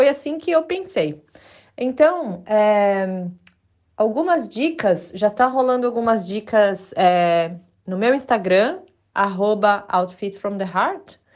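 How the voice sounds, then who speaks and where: Her pitch rises and falls very widely. The woman's pace is very slow. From Brazil. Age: 40s. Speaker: podcast host, sustainable stylist. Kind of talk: casual solo podcast monologue. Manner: hesitant, many filler words.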